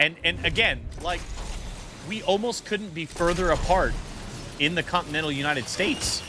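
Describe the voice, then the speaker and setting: Noticeable background noise is present. Over it, a man speaks at a moderate pace. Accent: American. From Michigan. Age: 30s. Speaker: gaming streamer and pastor. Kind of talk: live stream casual chat. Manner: halting.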